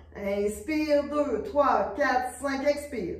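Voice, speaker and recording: Audible room echo follows a woman who speaks at a very slow pace with a high pitch. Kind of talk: exercise class instruction. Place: studio. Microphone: camera far.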